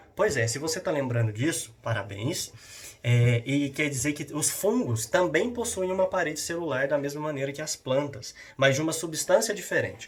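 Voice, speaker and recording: A man talks with lively intonation. His voice sits fairly high. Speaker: school science teacher. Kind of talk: lecture. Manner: fast; halting.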